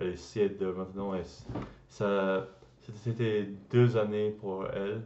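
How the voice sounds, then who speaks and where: There is audible room echo as a man talks in a fairly low pitch with monotone, flat intonation. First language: English (speaking French). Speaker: language learner vlogger. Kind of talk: casual vlog. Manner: halting, many hesitations and restarts.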